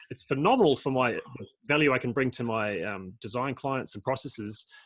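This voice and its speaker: A man talks at a fairly quick pace with an Australian accent. His pitch is medium and varies an ordinary amount. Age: 40s. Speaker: permaculture designer and podcast host. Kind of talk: casual interview conversation. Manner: halting, many repetitions and fillers.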